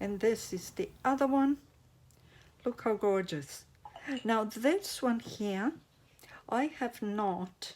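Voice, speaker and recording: Speech in a non-native accent moves at a very slow pace, broken by long, frequent pauses. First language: not English. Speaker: resin crafter / craft YouTuber. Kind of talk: craft tutorial. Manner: casual, halting.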